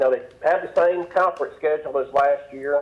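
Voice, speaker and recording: A man speaks with a Southern US accent. His pace is moderate. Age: 60s. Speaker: sports talk radio guest. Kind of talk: sports talk radio interview. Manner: halting, many fillers.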